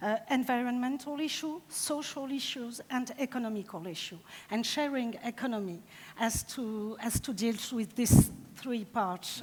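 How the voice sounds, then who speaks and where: Speaking at a fairly slow pace in a French accent, a woman uses a fairly high pitch with ordinary pitch variation. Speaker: deputy mayor. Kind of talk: conference panel discussion. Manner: halting.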